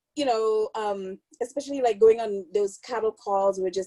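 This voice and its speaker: A woman speaks in a Caribbean accent with a dark, mellow tone. The sound is dry and close, with no echo. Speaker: film producer. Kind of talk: casual chat.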